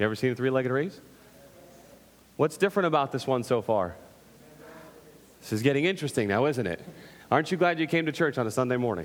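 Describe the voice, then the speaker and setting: A man talks very fast in an animated tone at a medium pitch. Long pauses come often. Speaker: pastor. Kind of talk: sermon. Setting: church. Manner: loud.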